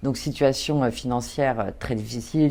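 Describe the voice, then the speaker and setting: Fairly quick speech from a woman with a very deep, low voice. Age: 40s. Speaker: social selling entrepreneur. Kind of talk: interview testimony.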